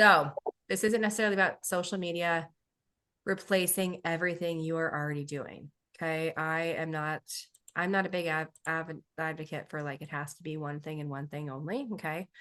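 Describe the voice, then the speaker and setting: Over a quiet background, a woman with a bright, sharp tone and fairly low pitch talks at a fairly quick pace, her intonation fairly even but her loudness swinging widely. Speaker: business coach and myofunctional therapist. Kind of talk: webinar training. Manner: fast.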